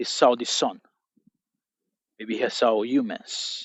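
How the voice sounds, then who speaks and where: A man talks at a fairly slow pace. He speaks with a non-native accent. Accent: non-native English pronunciation. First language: not English. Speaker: motivational speaker. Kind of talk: motivational monologue.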